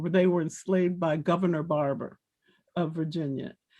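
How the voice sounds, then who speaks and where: A woman with an American accent speaks at a moderate pace, her fairly low voice monotone and flat. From Washington, D.C. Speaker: former activist. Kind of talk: panel discussion. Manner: halting.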